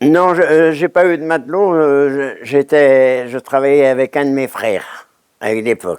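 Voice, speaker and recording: A man's voice, dry and close with no echo. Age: 90s. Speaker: retired oyster fisherman. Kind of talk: oral history testimony. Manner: halting, many hesitations and repetitions.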